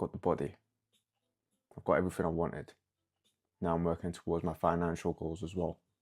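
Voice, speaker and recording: A man talks at a very fast pace in a monotone, flat intonation. Long, frequent pauses break up his speech. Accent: London. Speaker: podcast host. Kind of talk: casual solo podcast monologue. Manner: casual, halting with stutters.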